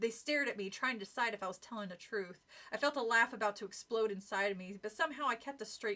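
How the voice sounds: The voice reads aloud. It sounds like a natural reading voice.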